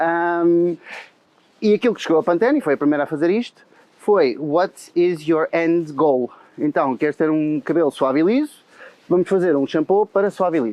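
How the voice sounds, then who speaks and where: A man with a high voice speaks at a moderate pace. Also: ordinary pitch variation. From Portugal. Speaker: head of marketing. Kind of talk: casual interview chat. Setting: outdoors, walking in Madrid. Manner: hesitant, many fillers.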